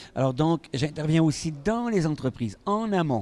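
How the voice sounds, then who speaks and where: A man's voice with a dark, mellow tone. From Quebec. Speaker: physician and stress expert. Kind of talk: interview.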